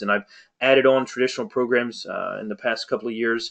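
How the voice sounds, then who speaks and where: A man's pitch varies in an ordinary way as he talks fairly quickly. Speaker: marketing consultant, webinar presenter. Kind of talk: webinar presentation. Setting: online webinar. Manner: fast.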